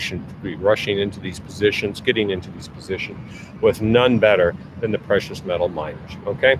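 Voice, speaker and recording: There is noticeable background noise behind this man. He talks at a fairly quick pace with a fairly low pitch. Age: 60s. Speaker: market analyst livestream host. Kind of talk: live market commentary. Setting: outdoors in the rain. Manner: halting, many fillers.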